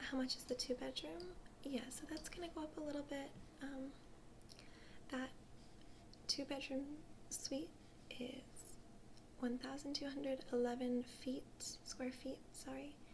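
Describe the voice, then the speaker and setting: A woman whispers, soft-spoken. She leaves long, frequent pauses. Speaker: ASMR artist doing a travel agent role play. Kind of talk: ASMR role play, customer service talk. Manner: soft-spoken, whispery.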